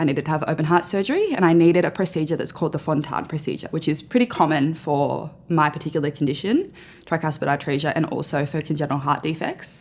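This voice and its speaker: A woman with an Australian accent and a very deep, low pitch, talking at a very fast pace with fairly even intonation on a very clean recording with a silent background. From Australia (central West New South Wales). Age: 20s. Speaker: journalist. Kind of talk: personal testimony interview. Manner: loud.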